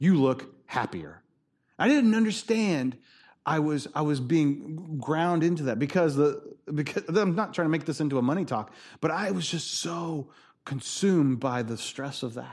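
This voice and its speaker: A man with a fairly high voice speaks at a moderate pace with lively intonation, on a very clean recording with a silent background. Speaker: pastor. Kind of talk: sermon. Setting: church. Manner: loud.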